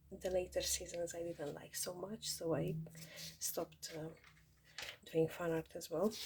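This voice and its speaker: With vocal fry and a fairly low pitch, a woman speaks very slowly in a monotone, flat way. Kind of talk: casual talk to camera.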